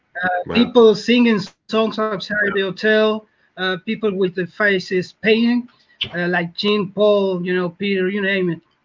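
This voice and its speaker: With a Spanish accent, a man speaks in a high pitch at a moderate pace. His intonation is monotone and flat. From Argentina. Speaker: caller. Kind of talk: casual chat.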